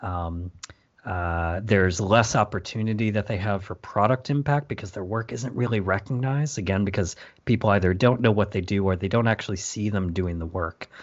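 An ordinary speaking voice from a man, fairly low in pitch, with ordinary pitch variation and a fairly quick pace. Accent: American. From Michigan, US. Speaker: design manager. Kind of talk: conversational interview.

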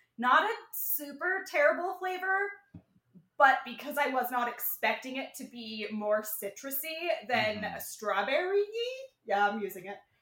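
A woman with a high pitch uses a raised, projected voice with a bright, sharp tone. Her pitch swings very widely and her loudness shifts a lot at a moderate pace. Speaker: cannabis comedy show co-host. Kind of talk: casual comedy banter. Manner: animated, excitable, swears casually.

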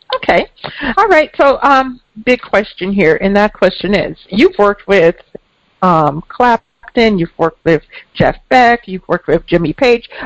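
A woman with an American accent and an unremarkable speaking voice, medium in pitch and fairly slow, in a dry, close sound with no echo. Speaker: podcast host, intuitive and author. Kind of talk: interview intro and conversation.

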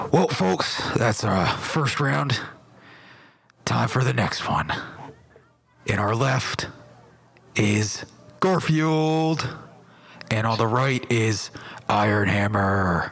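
At a very slow pace, a man speaks at a medium pitch with lively intonation and very even loudness. Long, frequent pauses break up his speech. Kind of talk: boxing ring announcer. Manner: loud, showy.

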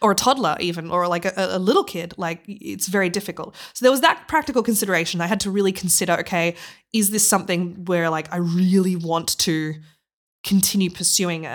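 A woman with an Australian accent talks at a fairly quick pace in a medium pitch with ordinary pitch variation. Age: 30s. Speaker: tech director and former opera singer. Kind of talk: interview. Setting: remote call. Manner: animated.

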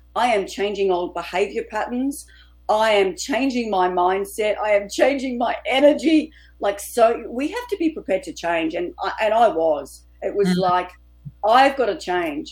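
With music playing behind her, a woman speaks at a moderate pace in an Australian accent. Her pitch is fairly high and swings very widely. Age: 50s. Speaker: author and women's coach. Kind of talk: interview.

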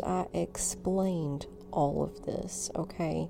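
A woman's voice in a Southern US accent. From US South, North Alabama. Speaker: spiritual podcaster. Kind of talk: casual chat.

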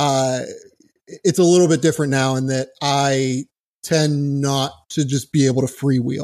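An unremarkable speaking voice with an American accent, at a moderate pace and with fairly even intonation. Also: man, fairly high pitch for a man. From US Northeast (Pittsburgh). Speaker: sports writer. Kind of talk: casual chat.

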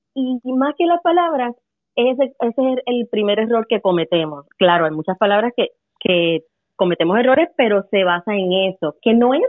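Her voice sits fairly high, and it rises and falls over a very wide range. This woman talks at a moderate speed. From Puerto Rico. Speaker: English teacher. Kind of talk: casual chat.

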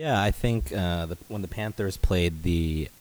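In an American accent, a man speaks at a moderate pace with a very deep, low pitch and ordinary pitch variation. The recording is very clean, with a silent background. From Los Angeles, US. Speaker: restaurant founder and CEO. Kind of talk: casual podcast chat.

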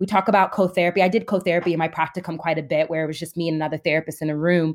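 Very fast pace from a woman with fairly low pitch and fairly even intonation. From New Jersey, then upstate New York. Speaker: therapist. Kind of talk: interview conversation.

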